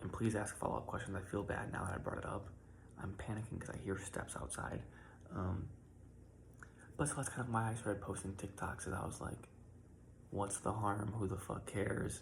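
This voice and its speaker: Whispering at a fairly quick pace, a man leaves long, frequent pauses, with audible room echo around him. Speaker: content creator. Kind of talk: personal reflection monologue. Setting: at home in his room, early morning. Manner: soft-spoken.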